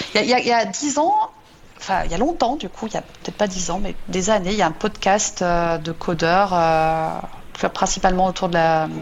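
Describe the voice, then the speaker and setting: A woman keeps to a moderate pace, her medium-pitched voice showing ordinary pitch variation. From France. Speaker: software engineering manager. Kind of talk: radio interview. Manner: hesitant, many repetitions.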